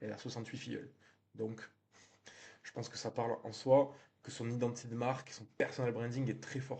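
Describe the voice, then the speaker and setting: A man with a southern French accent speaks at a moderate pace in a monotone, flat intonation, with a medium pitch and a somewhat breathy voice. He leaves long, frequent pauses, and his loudness swings widely. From southern France. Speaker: real estate marketing trainer. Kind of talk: tutorial. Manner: conversational, frequent hesitations.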